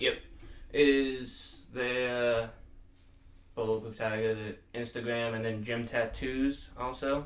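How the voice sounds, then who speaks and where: In a room with audible echo, the speaker goes at a very slow pace in a flat monotone, with long, frequent pauses. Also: man, medium pitch for a man. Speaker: podcast host. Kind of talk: casual chat.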